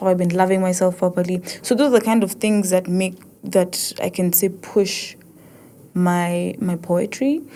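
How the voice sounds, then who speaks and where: A woman with an East African accent speaks at a fairly slow pace. Her tone is dark and mellow. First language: Swahili. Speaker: podcast host, poet. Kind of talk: casual podcast monologue. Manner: halting, many restarts.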